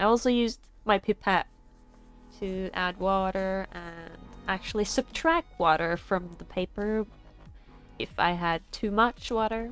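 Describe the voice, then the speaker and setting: Over background music, the speaker goes at a fairly slow pace with long, frequent pauses. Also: woman, medium pitch for a woman, ordinary pitch variation. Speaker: artist. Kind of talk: art supply unboxing voiceover. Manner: casual.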